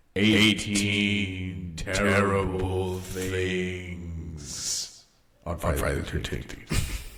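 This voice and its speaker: Using a put-on character voice, a man speaks very slowly at a very deep, low pitch, with audible echo around him. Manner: booming.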